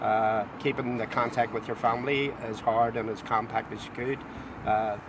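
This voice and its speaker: With noticeable background noise, a speaker with a Belfast accent talks at a moderate pace in a monotone, flat intonation. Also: man, medium pitch for a man. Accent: Belfast Northern Irish. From Northern Ireland, Belfast. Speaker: former loyalist prisoner, tour guide. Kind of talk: testimony. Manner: halting.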